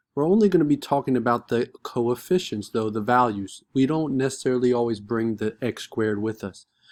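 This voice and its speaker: This very clean recording has a silent background and a man with an ordinary speaking voice. He talks at a moderate pace and medium pitch, with ordinary pitch variation. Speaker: math teacher. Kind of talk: tutorial. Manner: casual.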